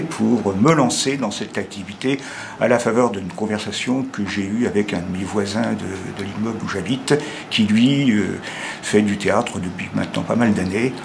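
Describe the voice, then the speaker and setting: Amid noticeable background noise and audible room echo, a man talks at a moderate pace with a fairly low pitch and ordinary pitch variation. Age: 70s. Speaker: amateur theatre student. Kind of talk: testimony. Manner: halting.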